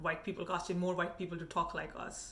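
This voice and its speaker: A woman's medium-pitched voice with audible room echo. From India. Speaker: food and travel vlogger. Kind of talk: casual commentary rant.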